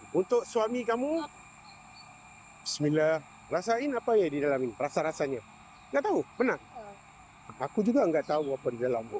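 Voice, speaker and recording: A man with a Malaysian accent, high-pitched, at a fairly quick pace, with very wide pitch swings, long and frequent pauses, and noticeable background noise. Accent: Malaysian Malay accent speaking Indonesian. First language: Malay (speaking Indonesian). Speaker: content creator giving gifts. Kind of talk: casual street interview. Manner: warm, gentle.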